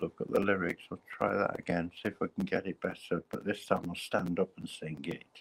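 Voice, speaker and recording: A man speaks at a moderate pace with an English accent. His pitch is very deep and low, and his intonation is fairly even. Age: 60s. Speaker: live streamer. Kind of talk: casual chat.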